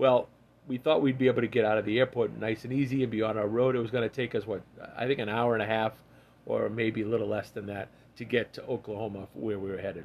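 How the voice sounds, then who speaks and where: Talking very fast, a man uses a medium pitch and fairly even intonation. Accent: Massachusetts. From Massachusetts. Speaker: podcast guest, host's father. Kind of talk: casual chat.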